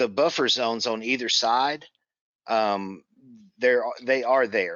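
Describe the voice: Slow in pace, a man talks at a medium pitch. The tone comes across fairly bright. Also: ordinary pitch variation.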